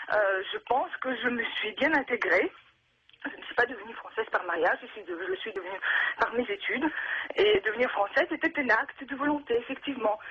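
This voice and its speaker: Her high voice makes very wide pitch swings and big swings in loudness. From Russia. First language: Russian (speaking French). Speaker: radio caller. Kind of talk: call-in radio testimony. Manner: halting, many hesitations.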